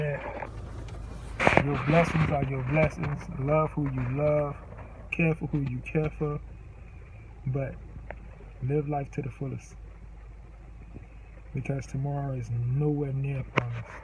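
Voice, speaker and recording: The speech is fairly slow, with long, frequent pauses and monotone, flat intonation. Noticeable background noise sits behind it. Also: man, fairly high pitch for a man. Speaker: vlogger. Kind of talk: memorial tribute.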